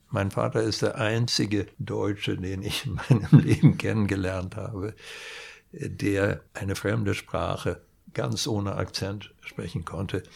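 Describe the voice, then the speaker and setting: A man's fairly low voice with vocal fry, ordinary pitch variation and a fairly slow pace, on a very clean recording with a silent background. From Sweden. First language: Swedish (speaking German). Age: 70s. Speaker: industrial designer. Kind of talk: interview.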